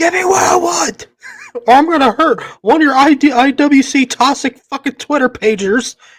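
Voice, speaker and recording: A man shouts in a put-on character voice at an extremely high pitch. His tone is angry. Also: moderate pace. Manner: yelling, angry.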